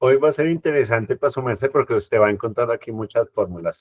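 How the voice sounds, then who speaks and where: Somewhat breathy, this man's speech races along at a very fast pace. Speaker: pension reform speaker. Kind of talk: community talk Q&A.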